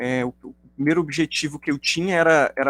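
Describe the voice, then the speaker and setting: This man's fairly high voice, with ordinary pitch variation and a moderate pace, comes through a dry, close sound with no echo in a very clean recording with a silent background. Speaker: linguistics professor. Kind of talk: academic lecture. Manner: hesitant, many fillers.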